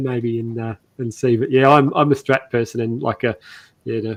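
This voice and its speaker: A man with an Australian accent speaks at a fairly quick pace over a quiet background. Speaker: guitar maker. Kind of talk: casual chat. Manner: halting.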